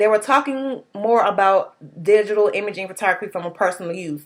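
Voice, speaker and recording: A woman speaks at a moderate pace with a fairly high pitch and ordinary pitch variation. The recording is very clean, with a silent background. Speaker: student. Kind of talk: class presentation. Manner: casual, hesitant with fillers.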